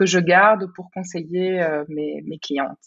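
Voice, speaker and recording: A woman's fairly low voice at a fairly slow pace. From Belgium. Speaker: life coach. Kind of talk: casual interview. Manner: halting, frequent word repetitions.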